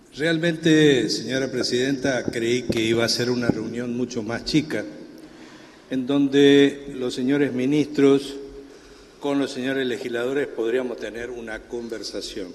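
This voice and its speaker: With fairly even intonation, a man talks at a medium pitch as noticeable background noise continues. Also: fairly slow pace. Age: 70s. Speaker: supreme court justice. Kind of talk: committee hearing speech.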